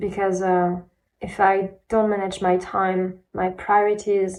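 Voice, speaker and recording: A woman with a non-native accent speaks at a medium pitch in a monotone, flat intonation. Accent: non-native English, self-described bad. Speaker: aspiring singer and vlogger. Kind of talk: personal video diary. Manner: halting, many fillers.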